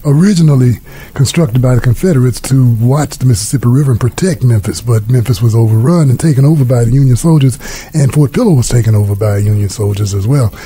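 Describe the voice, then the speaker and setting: A man's very fast speech, very even in volume, with ordinary pitch variation. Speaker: radio show host. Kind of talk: radio talk show introduction. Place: studio.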